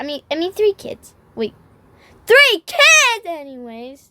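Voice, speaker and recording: A woman uses a put-on character voice at an extremely high pitch. She talks at a fairly slow pace with very wide pitch swings. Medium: fan dub.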